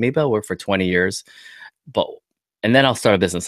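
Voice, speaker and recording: A man with a Canadian accent speaks at a very fast pace, his pitch fairly low. The sound is dry and close with no echo, in a very clean recording with a silent background. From Ontario, Canada (born Vietnam). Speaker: podcaster and entrepreneur. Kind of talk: casual interview. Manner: casual, streetwise slang.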